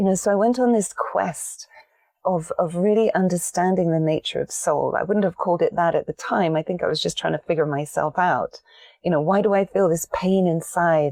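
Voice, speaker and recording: A woman with an English accent talks at a very even loudness. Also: moderate pace, dry, close sound with no echo. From England. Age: 50s. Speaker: meditation teacher and soul coach. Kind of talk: podcast interview.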